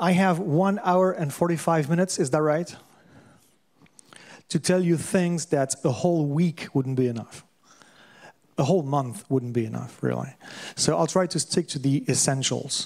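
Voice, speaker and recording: A man with a French accent and fairly high pitch moves at a moderate pace with ordinary pitch variation and long, frequent pauses. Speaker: lecturer on systems thinking. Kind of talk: lecture. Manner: halting.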